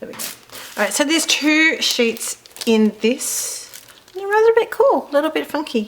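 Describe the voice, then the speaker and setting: Over noticeable background noise, a woman with an Australian accent speaks at a moderate pace in a high pitch, with very wide pitch swings. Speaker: card-making crafter. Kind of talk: product unboxing tutorial. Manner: casual, chatty.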